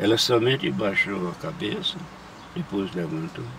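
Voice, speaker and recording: Over noticeable background noise, a man with a fairly low voice makes very wide pitch swings. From Brazil, Alagoas (northeast). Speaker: retired churchgoer telling his life story. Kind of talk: testimony in interview. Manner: halting, with restarts.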